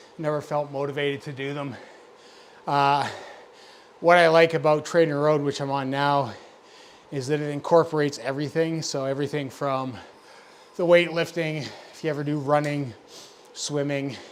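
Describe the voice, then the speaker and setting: With an American accent, a man speaks in a flat monotone at a fairly high pitch, leaving long, frequent pauses. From Scotland, then Birmingham. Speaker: cycling streamer. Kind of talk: casual live-stream chat. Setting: live stream, headphones on. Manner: rambling, chatty.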